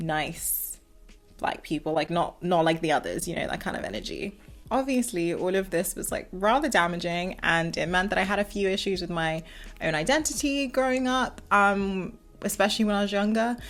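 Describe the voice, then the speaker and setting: With a strong southern English accent, a woman speaks at a moderate pace in a medium pitch, her intonation lively. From southern England. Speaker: video commentator. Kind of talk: casual commentary monologue. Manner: articulate, well-spoken.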